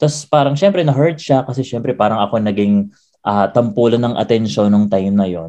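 With lively intonation, a normal speaking voice moves along at a fairly quick pace. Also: man, medium pitch for a man. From Philippines, Quezon City. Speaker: podcast host and pageant titleholder. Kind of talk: casual chat.

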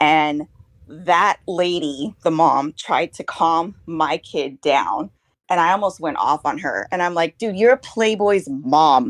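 A woman speaks very slowly in a fairly low voice with lively intonation. The sound is dry and close, with no echo. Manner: casual, hesitant with fillers.

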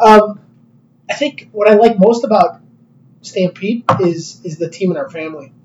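Speaking at a moderate pace with long, frequent pauses, a man with an American accent uses a high pitch, ordinary pitch variation, and big swings in loudness. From Chicago. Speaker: company executive. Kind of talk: casual interview.

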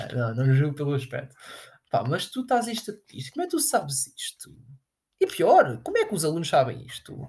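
The speaker has a European Portuguese accent. The pace is fairly quick. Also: man. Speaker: podcast host. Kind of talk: casual solo monologue. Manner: animated.

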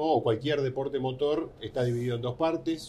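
With a dark, mellow tone, a man speaks at a medium pitch. His pace is moderate and his intonation fairly even. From Argentina. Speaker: motorsport journalist. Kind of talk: interview.

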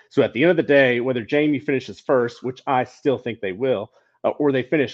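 In a normal speaking voice, a man talks at medium pitch with fairly even intonation. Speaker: co-host. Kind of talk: casual sports talk. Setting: video call with microphone.

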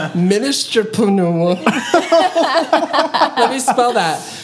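Over noticeable background noise, a woman talks at a very slow pace with very wide pitch swings. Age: 20s. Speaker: podcast co-host. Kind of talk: casual chat.

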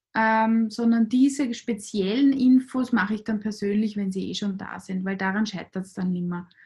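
Somewhat breathy woman with fairly high pitch, fairly even intonation, a moderate pace and hardly any pauses. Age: 40s. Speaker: clinical psychologist. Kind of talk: interview.

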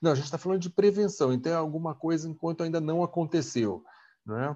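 The voice has a dark, mellow tone and lively intonation over a quiet background. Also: man. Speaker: gerontology channel co-host. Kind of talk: interview questions.

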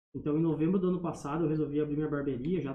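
This man's voice sits at a fairly high pitch. Audible room echo surrounds it. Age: young. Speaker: barber. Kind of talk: casual chat.

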